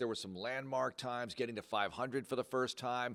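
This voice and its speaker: A man with a medium pitch talks at a fairly quick pace in an ordinary speaking voice. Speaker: radio play-by-play announcer for a pro football team. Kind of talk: interview answer.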